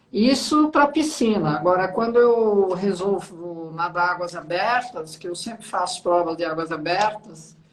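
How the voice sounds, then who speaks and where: Noticeable background noise behind a woman at medium pitch, lively in intonation, fairly slow in pace, with hardly any pauses. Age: 60s. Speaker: interviewer. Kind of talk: interview. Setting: livestream.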